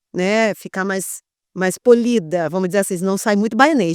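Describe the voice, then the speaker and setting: The speech moves at a moderate pace with a dry, close sound with no echo on a very clean recording with a silent background. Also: woman. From Brazil, Bahia (Salvador). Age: 40s. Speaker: sexologist, former journalist. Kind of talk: interview conversation. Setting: podcast recorded in a motorhome at a beach.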